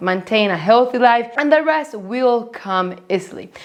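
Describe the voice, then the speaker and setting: A woman's fairly high-pitched voice in a non-native accent, with very wide pitch swings and noticeable background noise. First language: Spanish. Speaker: finance YouTuber. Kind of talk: vlog-style talk to camera.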